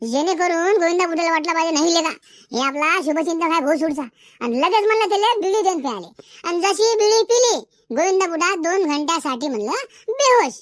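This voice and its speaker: A cartoonish character voice with extremely high pitch is heard. It moves at a moderate pace. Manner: boastful, scheming.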